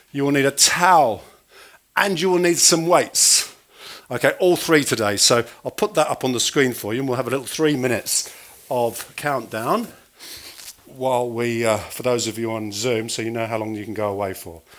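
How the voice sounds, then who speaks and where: A man's animated tone and lively intonation carry over noticeable background noise. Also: medium pitch for a man, moderate pace. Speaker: fitness instructor. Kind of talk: exercise class instruction. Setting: video call.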